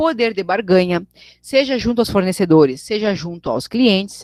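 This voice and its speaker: The sound is dry and close, with no echo. A woman speaks with lively intonation. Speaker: teacher. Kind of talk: online lecture. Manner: fast.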